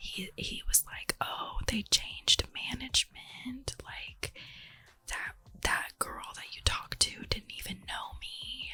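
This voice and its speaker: Noticeable background noise runs throughout. A woman whispers very slowly over it. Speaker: ASMR creator. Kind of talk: ASMR just chatting, casual talk about a reality TV show. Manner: whispered, soft-spoken, chatty.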